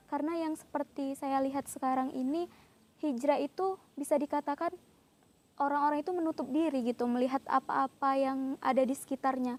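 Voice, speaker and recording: The speaker talks at a fairly quick pace with fairly even intonation. The sound is dry and close, with no echo. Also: woman, high pitch for a woman. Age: 20s. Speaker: university student. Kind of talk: interview questions. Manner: formal.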